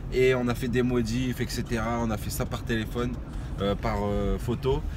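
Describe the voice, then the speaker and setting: Noticeable background noise surrounds a man's voice, and the sound is dry with no echo. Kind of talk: casual vlog chat. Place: car. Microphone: phone near.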